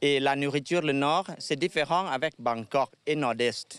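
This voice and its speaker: Speaking very slowly with a Thai accent, a man uses a fairly high pitch and ordinary pitch variation, recorded very cleanly with a silent background and a dry, close sound with no echo. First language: Thai (speaking French). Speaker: tour guide. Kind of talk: interview. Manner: halting.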